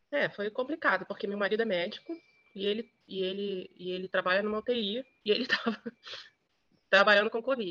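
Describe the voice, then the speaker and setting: This woman's tone is bright and sharp, set at a medium pitch. She moves at a moderate pace with ordinary pitch variation. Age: 50s. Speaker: journalist. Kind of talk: interview testimony.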